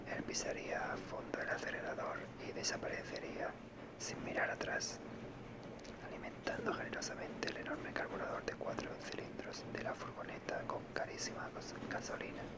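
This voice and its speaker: Someone is whispering at a moderate pace. Noticeable background noise can be heard. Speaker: audiobook reader. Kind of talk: reading aloud.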